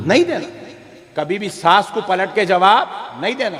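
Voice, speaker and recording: The speaker sounds animated, with lively intonation and noticeable background noise. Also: man. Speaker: Islamic preacher giving a sermon. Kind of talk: funny religious sermon to an audience. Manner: humorous, animated, preachy.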